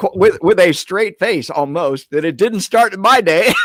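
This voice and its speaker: His intonation is lively. The man keeps a moderate pace. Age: 70s. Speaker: author and sex researcher. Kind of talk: interview.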